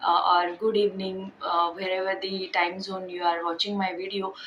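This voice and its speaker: A woman speaks in an Indian accent at a moderate pace with monotone, flat intonation. Noticeable background noise runs underneath. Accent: Indian (Marathi) English. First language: Marathi. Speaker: vlogger. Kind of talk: casual vlog talk. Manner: halting, many fillers.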